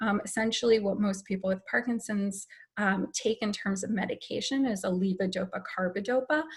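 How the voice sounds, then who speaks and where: Her speech moves at a fairly quick pace, somewhat breathy and with a medium pitch. This woman uses ordinary pitch variation. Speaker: patient advocate / foundation staff. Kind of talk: informational talk on video call.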